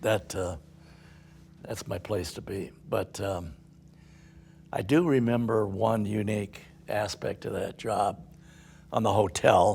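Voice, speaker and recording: Somewhat breathy, a man talks at a very slow pace with long, frequent pauses. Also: fairly low pitch for a man, ordinary pitch variation. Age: 80s+. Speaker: company founder, construction executive. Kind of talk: casual conversation.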